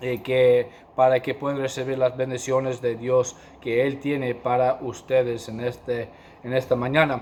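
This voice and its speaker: A man with a non-native accent talks at a fairly slow pace, his medium-pitched voice monotone with flat intonation. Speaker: pastor and missionary. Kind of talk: sermon. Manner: halting, many fillers.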